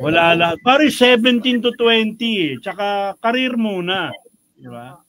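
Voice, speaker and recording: A man's high-pitched voice with lively intonation. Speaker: radio host. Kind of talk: casual radio talk show interview.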